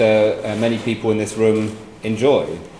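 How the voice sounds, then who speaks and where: Male speech, the room echo audible, the background noise light. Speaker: guest, former minister. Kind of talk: speech to an audience. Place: hall. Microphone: handheld.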